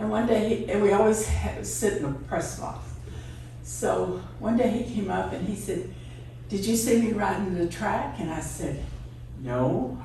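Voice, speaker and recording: A speaker with a Texan accent talks at a moderate pace, with noticeable background noise and audible room echo. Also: woman. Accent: Texan Southern US. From East Texas. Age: 80s+. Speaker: radio DJ's wife telling life story. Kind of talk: personal storytelling.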